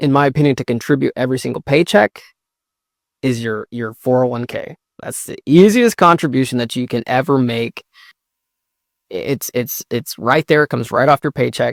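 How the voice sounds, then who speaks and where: A man with a plain, everyday voice speaks at a moderate pace, with medium pitch and ordinary pitch variation, in a dry, close sound with no echo. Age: 30s. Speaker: guest sharing personal finance experience. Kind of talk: casual chat.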